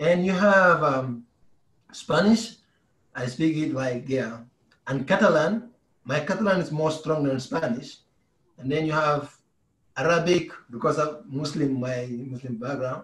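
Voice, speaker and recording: A man with a West African accent speaks at a fairly high pitch. His speech has long, frequent pauses. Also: ordinary pitch variation. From Gambia. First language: Mandinka. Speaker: basketball player. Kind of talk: interview.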